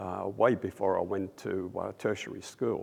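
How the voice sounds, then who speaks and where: A man is speaking with an Australian accent. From Australia, raised by Russian-Polish refugee parents. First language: Russian. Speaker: audio engineer, industry award inductee. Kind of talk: interview. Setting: trade convention. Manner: halting, many fillers.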